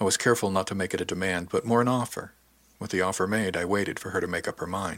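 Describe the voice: The pitch moves in an ordinary way. The delivery is plain reading aloud.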